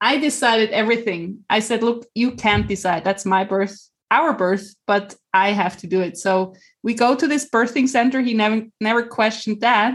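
The background stays quiet. A plain, everyday voice keeps a moderate pace, its pitch varying in an ordinary way. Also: woman, fairly high pitch for a woman. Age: 40s. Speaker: mother and life coach. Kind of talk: personal testimony.

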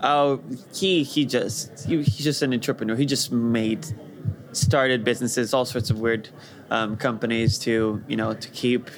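A man talks at a moderate pace in a medium pitch with ordinary pitch variation, against noticeable background noise. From Brazil, Rio de Janeiro. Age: young. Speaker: VR developer. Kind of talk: interview.

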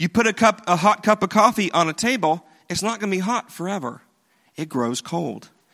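Bright and sharp in tone, the voice carries a Southern US accent and lively intonation at a fairly quick pace, recorded very cleanly against a silent background with a dry, close sound and no echo. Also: man. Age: 40s. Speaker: pastor. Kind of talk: sermon. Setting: church.

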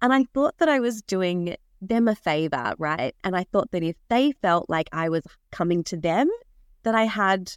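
In an Australian accent, a woman speaks with a warm tone and very wide pitch swings, the sound dry and close with no echo. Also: very clean recording, silent background. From Western Australia (Perth). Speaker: wedding florist and business mentor podcast host. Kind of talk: solo educational podcast talk. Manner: warm, conversational.

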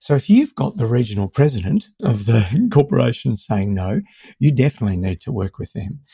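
A man speaks in a dark, mellow, somewhat breathy voice with lively intonation. The sound is dry and close, with no echo. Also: medium pitch for a man. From Melbourne, Australia. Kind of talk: interview conversation.

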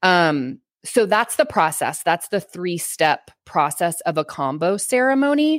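With an American accent, a woman talks in an animated tone at a fairly slow pace, her fairly low voice making very wide pitch swings at very even loudness, on a very clean recording over a silent background. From Texas. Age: 30s. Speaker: human design coach. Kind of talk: casual interview chat.

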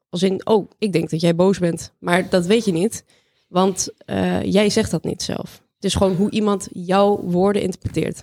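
A woman speaks at a medium pitch and a fairly slow pace, with a dark, mellow tone. Her intonation is monotone and flat, and the sound is dry and close with no echo. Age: 20s. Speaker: AI master student. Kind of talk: interview.

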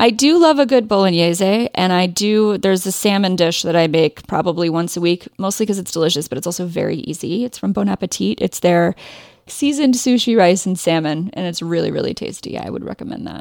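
With a Midwestern US accent, a woman talks at a fairly quick pace and medium pitch, with hardly any pauses. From Ohio, US Midwest. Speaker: indie fashion and crochet designer. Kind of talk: casual interview chat.

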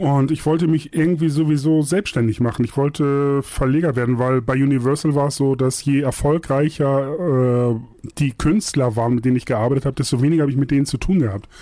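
This man has a plain, everyday voice at a fairly high pitch, with fairly even intonation and very even loudness. He talks at a fairly quick pace with hardly any pauses. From northern Germany, Buxtehude near Hamburg. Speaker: music publisher and radio DJ. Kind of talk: casual interview chat. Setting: video call.

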